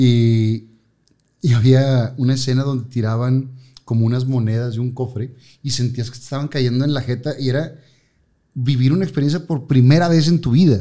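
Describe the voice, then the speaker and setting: Against a quiet background, a man talks at a moderate pace. His tone is dark and mellow. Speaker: TV host and radio announcer. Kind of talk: casual chat. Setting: studio. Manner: animated. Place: studio. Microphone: studio mic.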